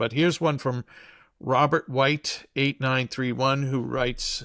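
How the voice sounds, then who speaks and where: A man speaks at a medium pitch with an American accent. The sound is dry and close with no echo, and the recording is very clean against a silent background. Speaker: podcast co-host. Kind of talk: podcast conversation.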